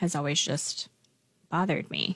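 A woman with an American accent has a plain, everyday voice. She speaks at a moderate pace in a dry, close sound with no echo. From Lincoln, Nebraska, US Midwest. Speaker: nonprofit executive director. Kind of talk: radio interview.

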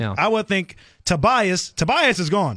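Against a silent background, the very clean recording captures a man speaking with a high pitch. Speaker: radio host. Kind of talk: casual banter. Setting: studio.

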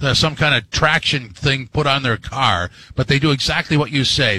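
His tone bright and sharp, a man talks at a fairly quick pace. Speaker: fill-in radio sports host. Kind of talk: radio DJ patter: sports talk show host banter and ad reads. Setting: radio studio.

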